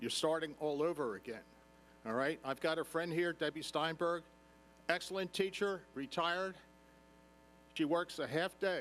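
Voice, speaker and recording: With a high pitch and ordinary pitch variation, a man talks at a moderate pace broken by long, frequent pauses. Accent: American. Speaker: retired lawyer and substitute teacher. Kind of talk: public comment at meeting.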